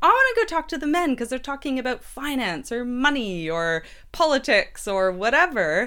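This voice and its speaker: On a very clean recording with a silent background, a woman with a high pitch uses a raised, projected voice with a bright, sharp, animated tone, very wide pitch swings, and a moderate pace. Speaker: podcast host. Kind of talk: casual chat.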